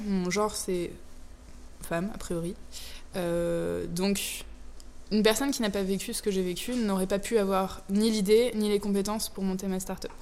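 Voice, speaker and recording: A woman talks at a medium pitch and moderate pace with fairly even intonation. Audible room echo surrounds her voice. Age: 20s. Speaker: startup founder. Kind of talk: interview.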